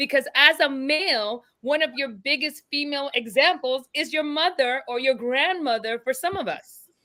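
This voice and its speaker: A woman's high, bright, sharp voice, raised and projected, at a moderate pace with ordinary pitch variation and hardly any pauses. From Caribbean. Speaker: panelist. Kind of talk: casual chat.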